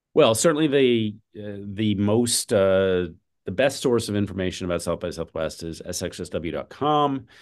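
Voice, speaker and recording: With an ordinary speaking voice, a man talks at a moderate pace in a fairly low pitch, his intonation lively against a quiet background. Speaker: festival executive. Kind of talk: casual interview.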